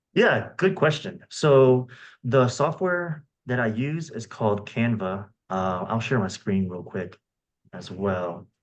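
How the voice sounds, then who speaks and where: Against a quiet background, a man speaks very slowly with very wide pitch swings and big swings in loudness. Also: medium pitch for a man. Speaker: Democratic party organizer presenting a resource. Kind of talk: tutorial.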